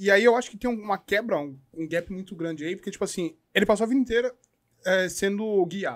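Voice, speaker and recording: Against a quiet background, a man with a Brazilian accent talks at a fairly quick pace in a high pitch, with ordinary pitch variation and big swings in loudness. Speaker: podcast host; podcast guest. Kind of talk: casual chat. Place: studio. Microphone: studio mic.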